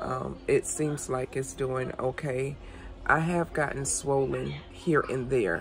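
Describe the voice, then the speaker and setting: A woman talks very slowly, with noticeable background noise behind her. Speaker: craft channel host. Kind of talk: casual vlog update. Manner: halting, many fillers.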